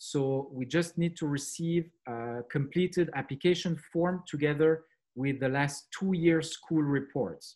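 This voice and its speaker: A man speaks with a French accent at a fairly slow pace. His pitch is fairly high and his intonation fairly even. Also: quiet background. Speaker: school managing director. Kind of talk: presentation. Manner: hesitant with fillers.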